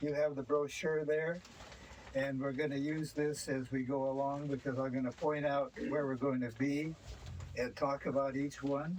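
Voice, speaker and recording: With an American accent, a man speaks in a monotone, flat intonation at very even loudness. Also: fairly high pitch for a man, moderate pace. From US Pacific Northwest, Washington. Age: 90s. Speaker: local history tour guide. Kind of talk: guided tour talk. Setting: on a tour bus. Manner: halting, many fillers.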